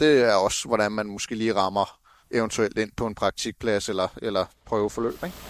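A man speaks at a moderate pace in a fairly low pitch with fairly even intonation and an ordinary speaking voice. The sound is dry and close with no echo, on a very clean recording with a silent background. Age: 30s. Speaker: truck driver apprentice. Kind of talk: interview. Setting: outdoors.

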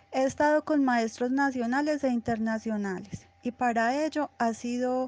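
Heard dry and close with no echo, a woman talks at a fairly slow pace in a high pitch with ordinary pitch variation. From Colombia, Antioquia (Envigado). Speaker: dancer. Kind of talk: interview monologue about her career. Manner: hesitant, many fillers.

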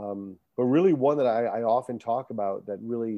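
A man with an American accent has a normal speaking voice at a medium pitch. He talks at a moderate pace with fairly even intonation. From Rhode Island, US. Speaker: coach and motivational speaker. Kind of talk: casual interview.

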